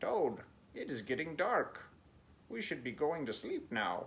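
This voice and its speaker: A put-on character voice from a man, fairly slow, pitched fairly high. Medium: read story.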